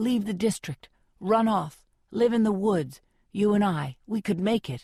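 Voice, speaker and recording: This put-on character voice growls at a moderate pace with a fairly high pitch. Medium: read story.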